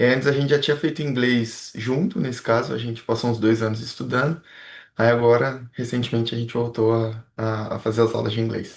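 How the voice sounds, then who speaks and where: Against a quiet background, a man with an unremarkable speaking voice talks at a fairly quick pace, his medium pitch held in fairly even intonation. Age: 20s. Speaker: engineering student. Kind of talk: interview.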